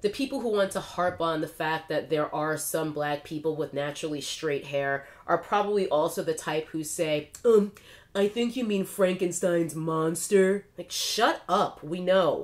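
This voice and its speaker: Speaking at a fairly slow pace, a woman uses a fairly low pitch with ordinary pitch variation. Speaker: commentary vlogger. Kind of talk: casual vlog commentary. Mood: exasperated, sarcastic. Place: home room.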